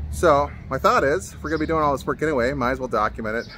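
Light background noise accompanies a man's voice, which sounds dry with no echo. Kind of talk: casual vlog chat. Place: street. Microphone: phone near.

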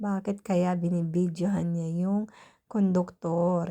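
A woman's dark, mellow voice of medium pitch, monotone and flat, on a very clean recording with a silent background. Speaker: vlogger. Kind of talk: casual vlog narration. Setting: outdoors at bus stop and on bus.

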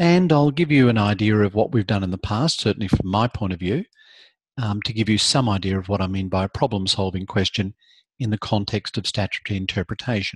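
Over a quiet background, a man with a fairly low, somewhat breathy voice talks at a fairly quick pace with ordinary pitch variation, the sound dry with no echo. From Australia. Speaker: law lecturer. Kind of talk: live online lecture. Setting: video call. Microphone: video call.

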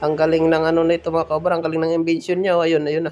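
This is a man talking. His pitch sits fairly high. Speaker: vlogger. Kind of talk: live vlog commentary. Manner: animated.

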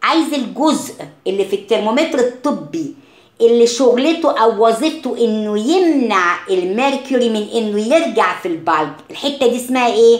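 A woman speaks with an Egyptian accent at a fairly high pitch and a moderate pace. Her intonation is lively over noticeable background noise. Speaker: science teacher. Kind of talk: lecture. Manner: mixes Arabic and English.

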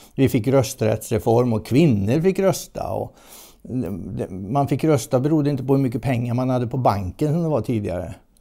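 A man's dark, mellow tone with lively intonation, at a moderate pace, over a quiet background. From Sweden, Västergötland (Mariestad); Sweden. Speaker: environmental journalist and author; environmental journalist. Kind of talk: interview. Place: home room. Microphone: lapel.

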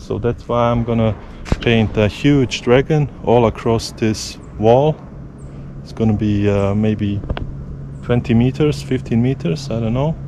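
A man speaks at a fairly slow pace. Noticeable background noise is present. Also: dry sound with no echo. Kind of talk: casual vlog chat. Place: forest. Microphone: phone near.

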